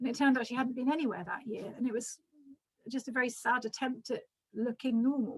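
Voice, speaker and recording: Words tumble out very quickly, with intonation that stays fairly even. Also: woman, high pitch for a woman. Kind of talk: lecture. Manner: fast; hesitant, many ums.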